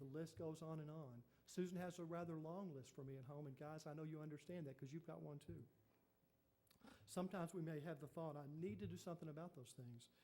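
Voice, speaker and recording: Very fast and fairly high, a man's voice carries a dark, mellow tone and fairly even intonation. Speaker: pastor. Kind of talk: sermon.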